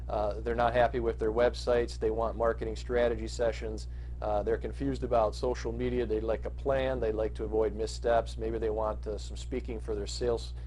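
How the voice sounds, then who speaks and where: With audible room echo, a man with a very deep, low pitch and a dark, mellow, somewhat breathy tone speaks in a flat monotone at a fairly quick pace with hardly any pauses. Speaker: marketing consultant. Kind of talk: business pitch monologue. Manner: fast; halting with many fillers.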